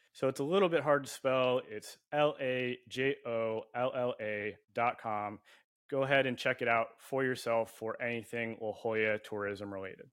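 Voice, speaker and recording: In a plain, everyday voice, a man with an American accent talks at a moderate pace and medium pitch with ordinary pitch variation against a quiet background. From US West Coast, San Diego. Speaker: podcast host. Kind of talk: casual chat.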